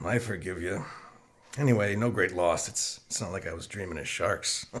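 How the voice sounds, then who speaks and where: A man's put-on character voice, raspy and fairly low, at a moderate pace with ordinary pitch variation. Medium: audio drama. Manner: wry, easygoing.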